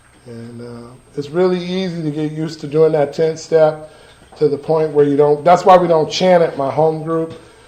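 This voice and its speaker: A man's fairly high voice at a moderate pace, fairly even in intonation, with noticeable background noise. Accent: American. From Los Angeles, California (Watts). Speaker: recovering alcoholic speaker. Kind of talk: testimony.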